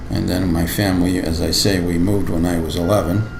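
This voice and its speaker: Very deep, low male speech at a moderate pace with ordinary pitch variation, plus audible room echo and noticeable background noise. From Lorain, Ohio (US Midwest). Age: 70s. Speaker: school board member. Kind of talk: oral history interview. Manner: halting.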